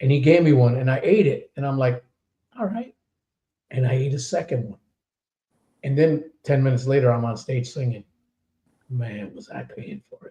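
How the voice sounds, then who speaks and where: A man with a medium pitch speaks at a moderate pace in a dark, mellow, somewhat breathy tone, with ordinary pitch variation, big swings in loudness and long, frequent pauses. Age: 60s. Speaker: podcast host and metal singer. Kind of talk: casual chat.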